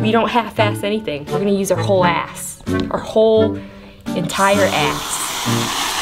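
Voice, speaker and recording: A woman talks at a moderate pace over clear music in the background. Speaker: host of a drink recipe show. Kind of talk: comedic tutorial. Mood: crude, playful, joking. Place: bar.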